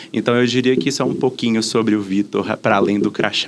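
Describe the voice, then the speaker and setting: Over noticeable background noise, a man with a Minas Gerais accent talks very fast at a medium pitch with ordinary pitch variation. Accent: Minas Gerais (mineiro) accent, noticeable. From Brazil, Minas Gerais (Belo Horizonte). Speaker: diversity and inclusion specialist. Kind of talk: podcast interview.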